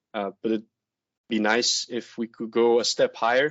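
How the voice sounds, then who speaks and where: A man speaks with a French accent at a moderate pace. His pitch is medium, and his intonation is monotone and flat. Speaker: veterinarian. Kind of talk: webinar presentation. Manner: halting, many fillers.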